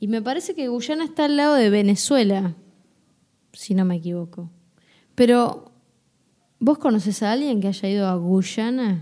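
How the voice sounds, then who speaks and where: Over a very clean recording with a silent background, a woman with a Rioplatense accent speaks at a moderate pace in a dark, mellow tone, her intonation lively and her pauses long and frequent. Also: fairly high pitch for a woman. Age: 20s. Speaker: podcast co-host. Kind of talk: casual chat.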